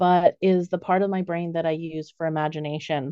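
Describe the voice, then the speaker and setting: In an American accent, a woman with a plain, everyday voice speaks at a moderate pace, fairly low in pitch and fairly even in intonation. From raised overseas, US family. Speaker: animal soul reader and artist. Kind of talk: interview conversation.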